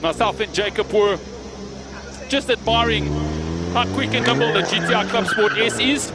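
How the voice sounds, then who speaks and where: Long, frequent pauses break up this man's speech. He keeps a moderate pace over noticeable background noise. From South Africa, Johannesburg. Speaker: event commentator. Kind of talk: live event commentary. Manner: loud; animated.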